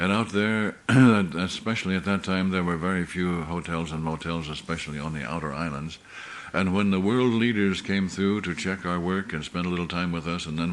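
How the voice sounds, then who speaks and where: A man's very deep, low voice at a moderate pace, with fairly even intonation and audible room echo. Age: 70s. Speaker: pastor. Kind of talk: sermon. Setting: church meeting.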